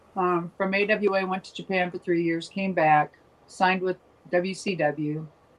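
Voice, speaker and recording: With an Upper Midwest US accent, a woman talks at a fairly slow pace in a monotone, flat intonation, her loudness swinging widely. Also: medium pitch for a woman. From Minnesota. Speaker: former professional wrestler. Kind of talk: interview.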